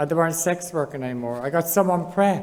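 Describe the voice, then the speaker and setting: A woman's fairly low voice with lively intonation and an Irish accent. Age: 60s. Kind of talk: panel discussion testimony. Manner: conversational, with fillers.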